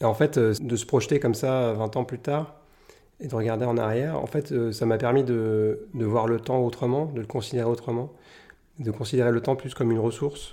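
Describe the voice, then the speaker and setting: A man's medium-pitched voice, dark and mellow in tone, with fairly even intonation at a moderate pace over a very clean recording and a silent background. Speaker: painter. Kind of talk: interview. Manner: halting.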